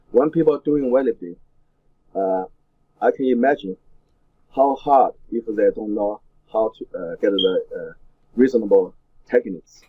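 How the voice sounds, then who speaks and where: The speaker has a Chinese accent and a moderate pace, broken by long, frequent pauses. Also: man. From China. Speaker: weightlifting coach and former Olympian. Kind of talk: interview. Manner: halting, many fillers.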